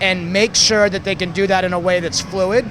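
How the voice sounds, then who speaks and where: Moderately paced speech from a man, against noticeable background noise. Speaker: video game developer. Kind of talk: interview answer.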